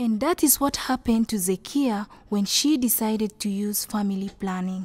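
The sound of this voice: A woman's medium-pitched, slightly mellow voice at a moderate pace, with ordinary pitch variation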